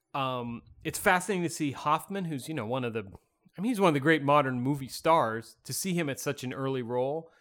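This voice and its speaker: A man with an unremarkable speaking voice and fairly high pitch moves at a fairly quick pace with ordinary pitch variation, recorded very cleanly against a silent background. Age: 50s. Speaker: film podcast co-host. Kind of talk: casual chat.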